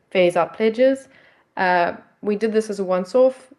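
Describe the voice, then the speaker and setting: With a South African accent, a woman talks at a moderate pace. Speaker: nonprofit project representative. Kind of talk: pitch presentation. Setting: video call. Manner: hesitant, many fillers.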